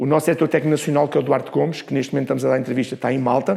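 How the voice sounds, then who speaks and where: A man speaks at a fairly high pitch with a Lisbon accent. Noticeable background noise runs beneath him. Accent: European Portuguese, Lisbon. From Portugal, Lisbon. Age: 60s. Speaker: former football referee and coaching instructor. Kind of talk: interview. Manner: animated.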